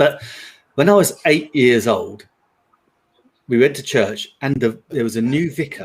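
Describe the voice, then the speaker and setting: Speaking with a London accent, a man with a fairly high, somewhat breathy voice uses lively intonation at a fairly slow pace with long, frequent pauses. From London, England. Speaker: live stream panelist. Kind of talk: casual chat.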